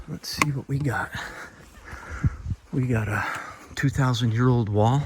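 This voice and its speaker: Over noticeable background noise, a man is whispering at a fairly slow pace. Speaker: travel vlogger exploring ruins. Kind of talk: walking tour narration. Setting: outdoors on mountain trail. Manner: casual, conversational.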